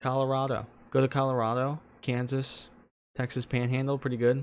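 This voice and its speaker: A man at medium pitch with a New Jersey accent, on a very clean recording with a silent background. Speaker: weather livestreamer. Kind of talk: live weather commentary. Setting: livestream. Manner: animated.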